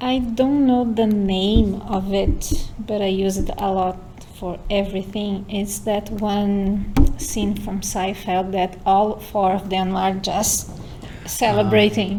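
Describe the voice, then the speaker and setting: Speaking at a very slow pace with a Portuguese accent, a woman uses fairly even intonation amid noticeable background noise and audible room echo. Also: medium pitch for a woman. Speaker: university student and lab member.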